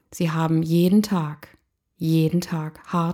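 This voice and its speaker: This woman's voice sits fairly low in pitch and has a dark, mellow tone. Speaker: podcast host, motivational coach. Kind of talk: personal storytelling monologue.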